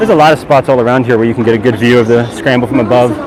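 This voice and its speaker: A man talks at a very fast pace. Crowd noise sits in the background, and room echo is audible. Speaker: walking tour vlogger. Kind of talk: live stream walking commentary. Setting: outdoors on city streets. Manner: loud, raised voice over street noise.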